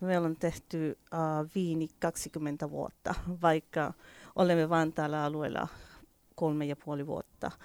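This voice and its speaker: A woman with a Spanish accent, fairly low-pitched for a woman, speaking at a very slow pace with fairly even intonation. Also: dry, close sound with no echo, very clean recording, silent background. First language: Spanish (speaking Finnish). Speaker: winery owner. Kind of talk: radio interview. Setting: radio studio. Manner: halting, many fillers.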